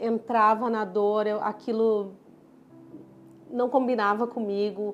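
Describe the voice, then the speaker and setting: A woman in a southern Brazilian accent, fairly high-pitched and monotone with flat intonation, at a very slow pace, with music in the background. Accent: southern Brazilian (gaúcho-like). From southern Brazil (Florianópolis; born in Pará). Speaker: dermatologist. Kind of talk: personal story vlog.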